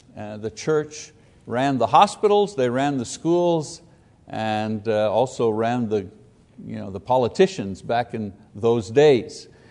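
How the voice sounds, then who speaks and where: Talking at a very slow pace, a man uses lively intonation and big swings in loudness. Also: medium pitch for a man. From Quebec. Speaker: Bible teacher. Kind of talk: Bible class lecture. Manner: halting with frequent fillers.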